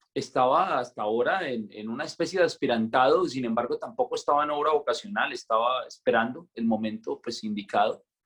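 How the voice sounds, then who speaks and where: The man has a plain, everyday voice. He talks at a fairly quick pace with lively intonation. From Colombia, Santander. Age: 20s. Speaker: friar. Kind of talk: casual interview conversation.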